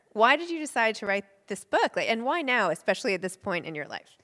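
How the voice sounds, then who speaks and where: In an American accent, a woman speaks loudly at a high pitch with very wide pitch swings, on a very clean recording with a silent background. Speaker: interviewer and book podcaster. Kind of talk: interview on stage. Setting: stage with live and virtual audience.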